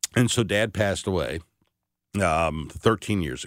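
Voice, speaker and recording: A man with an American accent talks in a very deep, low voice with vocal fry. The recording is very clean, with a silent background. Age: 50s. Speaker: radio host. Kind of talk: casual chat. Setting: studio.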